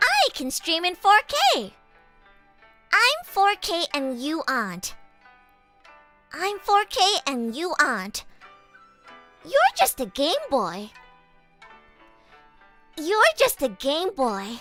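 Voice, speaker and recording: A put-on character voice sits at an extremely high pitch with very wide pitch swings. It moves at a very slow pace over faint background music. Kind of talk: taunting. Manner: a little offended, haughty, boastful.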